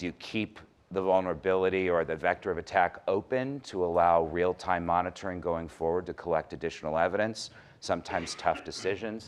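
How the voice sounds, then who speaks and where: A man with a very deep, low pitch speaks fairly quickly, his pitch varying in an ordinary way. The background is quiet. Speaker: cyber crime expert, former prosecutor. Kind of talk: conference panel talk. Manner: fast.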